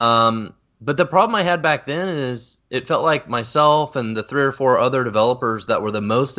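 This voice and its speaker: A man speaks with a normal speaking voice at a medium pitch. His pace is moderate and his intonation lively. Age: 30s. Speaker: software company founder and CEO. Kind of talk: interview.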